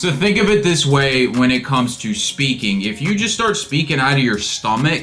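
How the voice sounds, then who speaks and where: A man's fairly high pitch with very wide pitch swings, very even loudness and hardly any pauses, music playing in the background. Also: moderate pace. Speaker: men's self-improvement YouTuber. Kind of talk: casual talk to camera.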